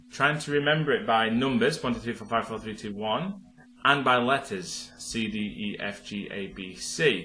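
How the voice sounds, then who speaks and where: A man with a medium-pitched voice speaks at a moderate pace, with audible room echo. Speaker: piano teacher. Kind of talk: tutorial. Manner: casual, with filler words.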